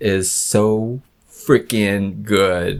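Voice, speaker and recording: Man with a fairly low pitch. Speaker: comics reviewer. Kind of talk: casual video review. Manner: slurred speech; hesitant, many fillers.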